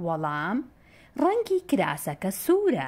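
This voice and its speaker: A woman talks at a very slow pace while her pitch swings very widely. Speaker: narrator of a Kurdish textbook. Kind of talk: reading aloud. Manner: clear.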